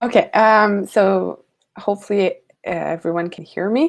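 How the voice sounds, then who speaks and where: With a Quebec accent, a woman talks at a moderate pace. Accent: Québécois French accent in English. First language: French. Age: 20s. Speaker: lifesaving sport coach. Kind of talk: webinar presentation. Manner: hesitant, searching for words.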